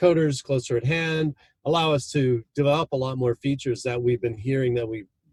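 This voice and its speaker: Speaking at a fairly quick pace, a man has a medium pitch and a somewhat breathy voice with fairly even intonation. The sound is dry and close, with no echo. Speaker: market management software founder and consultant. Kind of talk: podcast interview. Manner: hesitant, with fillers.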